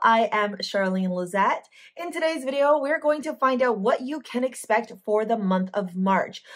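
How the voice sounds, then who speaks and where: A woman speaks in a high pitch at a moderate pace, with lively intonation and hardly any pauses. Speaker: tarot reader and spiritual coach. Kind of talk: tarot reading.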